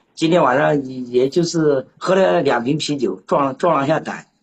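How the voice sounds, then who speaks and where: A man speaks here. His voice is somewhat breathy. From Anhui, China. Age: 30s. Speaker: call-in listener. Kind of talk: casual chat. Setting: live-stream voice call. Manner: stuttering, repeats words.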